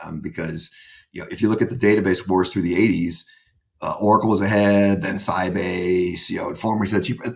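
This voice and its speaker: A man with an American accent, fairly low in pitch, at a fairly quick pace. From US Northeast, Boston. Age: 60s. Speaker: private equity investor. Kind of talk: podcast interview. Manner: casual, many fillers; animated.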